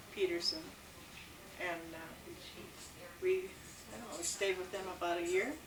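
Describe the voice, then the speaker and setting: With an American accent, a woman speaks at a medium pitch and with fairly even intonation, amid noticeable background noise and audible room echo. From Minnesota. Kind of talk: casual family interview. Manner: hesitant.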